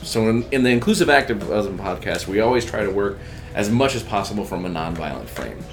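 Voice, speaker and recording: Over music in the background, a man with a fairly low pitch speaks at a very fast pace, with audible room echo. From Texas. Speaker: podcast host, activist. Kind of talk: casual chat.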